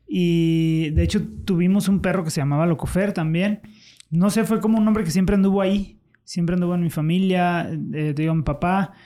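At a fairly quick pace, a man with a high-pitched voice and a dark, mellow tone speaks with fairly even intonation and very even loudness. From Mexico, León (Guanajuato). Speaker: TikTok content creator. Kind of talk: casual interview chat.

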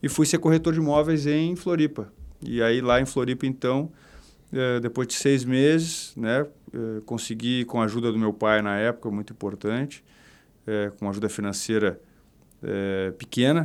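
On a very clean recording with a silent background, a man speaks at a moderate pace and medium pitch. His pitch varies in an ordinary way, and he leaves long, frequent pauses. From southern Brazil, Porto Alegre. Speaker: real estate company director. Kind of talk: podcast interview. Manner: halting, many repetitions.

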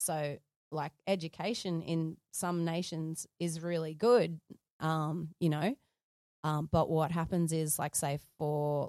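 In a very clean recording with a silent background, a woman speaks at a very deep, low pitch in a dark, mellow tone, her intonation fairly even and the sound dry and close with no echo. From Australia, Sydney and Gold Coast. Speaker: photographer and filmmaker. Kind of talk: interview.

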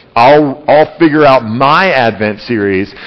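Background noise is noticeable. A man talks with lively intonation. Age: 30s. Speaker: pastor. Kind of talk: sermon. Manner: halting.

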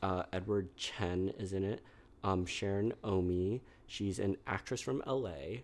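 A man with an American accent and an ordinary speaking voice talks at a fairly slow pace and a fairly low pitch with ordinary pitch variation, on a very clean recording with a silent background. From New York City. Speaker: school counselor and therapist. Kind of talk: casual chat. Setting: studio.

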